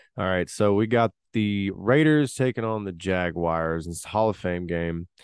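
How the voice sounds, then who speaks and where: A man is speaking. He has a Tennessee accent. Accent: Southern US (Tennessee). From Tennessee, US South. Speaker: sports betting podcast host. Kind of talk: casual solo podcast talk.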